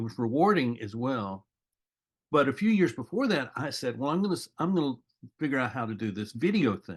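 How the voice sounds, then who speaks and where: A man speaks at a fairly quick pace in a normal speaking voice, with lively intonation. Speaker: podcast host. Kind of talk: podcast interview.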